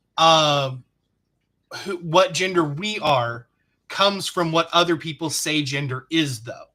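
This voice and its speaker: Bright and sharp in tone, a man with an American accent and a high voice speaks with lively intonation. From Texas. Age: 40s. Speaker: livestreamer. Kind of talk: casual chat.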